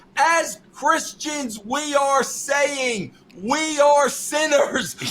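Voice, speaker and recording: Against noticeable background noise, a man with an extremely high pitch talks at a very slow pace with ordinary pitch variation. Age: 60s. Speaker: wrestling writer, podcast guest. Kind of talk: casual chat. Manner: animated.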